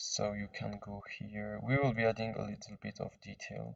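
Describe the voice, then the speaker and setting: Moving at a moderate pace, a man speaks with a non-native accent. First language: non-native English speaker. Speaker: 3D modding tutorial maker. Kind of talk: software tutorial screen-recording narration. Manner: casual, hesitant with fillers.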